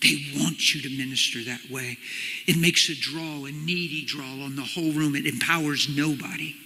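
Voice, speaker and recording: A man talks at a moderate pace with a fairly high pitch and ordinary pitch variation. Noticeable background noise runs underneath. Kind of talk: personal testimony / sermon to an audience. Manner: casual, animated storytelling.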